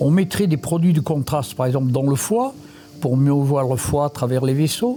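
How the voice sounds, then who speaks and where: Loudness stays very even as the voice moves at a moderate pace with ordinary pitch variation, over noticeable background noise. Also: man, fairly high pitch for a man. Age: 80s+. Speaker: retired radiology professor. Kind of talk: testimony.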